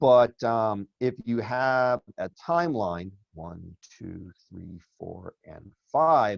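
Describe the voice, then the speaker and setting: A man's medium-pitched voice with very wide pitch swings, dry and close with no echo. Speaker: finance teacher. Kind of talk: lecture. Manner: casual, conversational.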